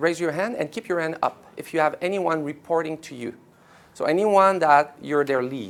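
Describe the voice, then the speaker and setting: Speaking in a French Canadian accent, a man with a fairly high pitch keeps a moderate pace, with ordinary pitch variation and big swings in loudness. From Quebec. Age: 40s. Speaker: company executive. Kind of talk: workshop presentation. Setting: office event with live audience.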